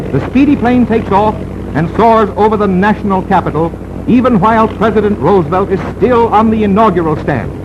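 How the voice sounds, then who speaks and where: An excited-sounding man speaks in a high pitch at very even loudness, with noticeable background noise behind him. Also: ordinary pitch variation, fairly quick pace. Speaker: newsreel narrator. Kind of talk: newsreel narration. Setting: 1930s archival film recording. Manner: fast, excited.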